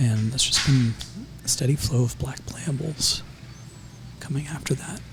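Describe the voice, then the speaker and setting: A man whispers quietly with long, frequent pauses while music plays in the background. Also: moderate pace. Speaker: live draft commentator. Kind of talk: live commentary. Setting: in the room close to players. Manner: whispering, quiet.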